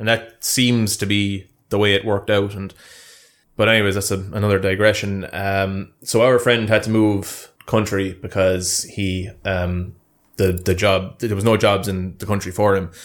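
A man with a Munster accent speaks at a moderate pace, his fairly low voice monotone and flat. The recording is very clean, with a silent background. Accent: Irish, Munster. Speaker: YouTuber. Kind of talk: casual banter chat. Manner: joking, bantering.

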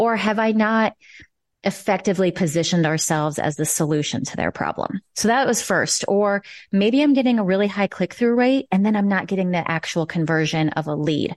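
Over a quiet background, a woman with a Midwestern American accent speaks at medium pitch and a fairly quick pace. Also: lively intonation. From Nebraska. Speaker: marketing consultant. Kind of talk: interview.

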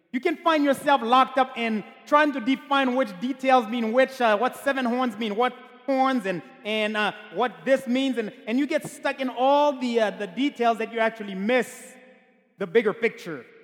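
Extremely high in pitch, a man speaks in an animated tone over noticeable background noise. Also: ordinary pitch variation, moderate pace. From Haiti. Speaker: pastor. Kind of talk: sermon. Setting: church.

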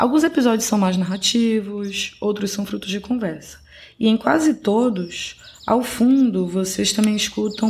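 A woman talks at a moderate pace at a medium pitch, with ordinary pitch variation. It is an ordinary speaking voice. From Belém, Pará, northern Brazil. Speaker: podcast host. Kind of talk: scripted narration.

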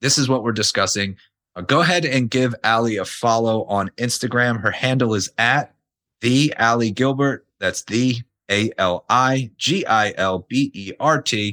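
At a fairly slow pace, a man with a medium pitch and ordinary pitch variation speaks in an unremarkable speaking voice, with a dry, close sound and no echo. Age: 30s. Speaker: podcast host, fitness coach. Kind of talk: casual interview.

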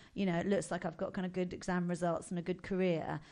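With a southern English accent, a woman speaks at a medium pitch against a quiet background. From southern England, Buckinghamshire. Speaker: comedian. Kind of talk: casual chat.

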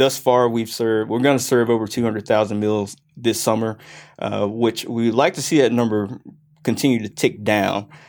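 A man speaks at a moderate pace in a medium pitch with an American accent, his intonation fairly even and his voice an unremarkable speaking voice. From US South, Gwinnett County, Georgia. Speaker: county parks and recreation director. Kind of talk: interview.

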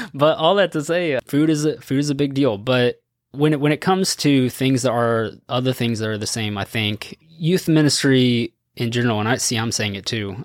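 A man speaks in a normal speaking voice at a medium pitch and a moderate pace, with ordinary pitch variation. The recording is very clean, dry and close, with no echo and a silent background. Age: 30s. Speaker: student ministry pastor. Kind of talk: casual chat. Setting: studio.

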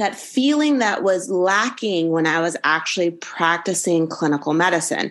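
A woman with an American accent and a plain, everyday voice speaks at a fairly slow pace with lively intonation. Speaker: college anatomy professor, former anesthesiologist. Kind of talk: interview, conversational.

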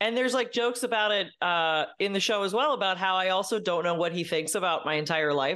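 A very fast, nearly pause-free woman's voice with an American accent, medium pitch, lively intonation and very even loudness. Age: 30s. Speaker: comedian. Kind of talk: casual chat.

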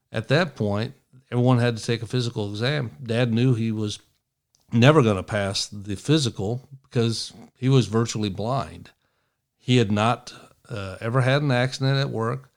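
A man's medium-pitched voice rises and falls in an ordinary way as he talks at a moderate pace. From East Tennessee (Appalachia), born in Michigan. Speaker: podcast host, former FBI agent. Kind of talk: political commentary monologue. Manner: animated, run-on speech.

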